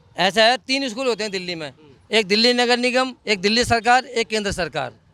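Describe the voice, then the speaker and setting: A man uses a raised, projected voice, high in pitch, with a bright, sharp tone. He keeps a moderate pace and ordinary pitch variation. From Delhi, India. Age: 60s. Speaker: member of the public. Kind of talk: street interview.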